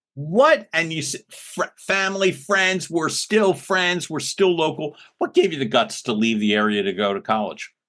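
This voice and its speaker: In a Philadelphia accent, the speaker's bright, sharp voice makes very wide pitch swings at a moderate pace. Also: man, high pitch for a man. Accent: Philly. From US, Philadelphia. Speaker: podcast host. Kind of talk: interview conversation. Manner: animated.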